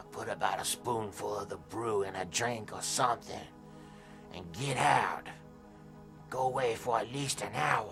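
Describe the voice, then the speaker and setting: Over clear music in the background, a man puts on a character voice at a medium pitch and a moderate pace. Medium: short film. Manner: knowing, unhurried, darkly amused.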